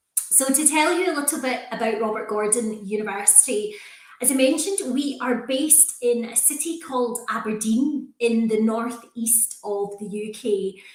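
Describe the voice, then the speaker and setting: Woman with a Scottish accent, fairly high-pitched, moderate pace, ordinary pitch variation, noticeable background noise and audible room echo. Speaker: university recruitment manager. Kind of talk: presentation to prospective students.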